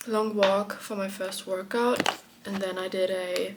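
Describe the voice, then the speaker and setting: Noticeable background noise behind a woman speaking at a medium pitch. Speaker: vlogger. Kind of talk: casual vlog talk to camera.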